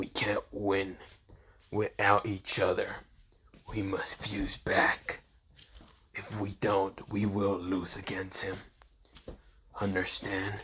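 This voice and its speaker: A man speaks in a put-on character voice. His pace is very slow, with long, frequent pauses. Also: fairly low pitch for a man. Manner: urgent, serious.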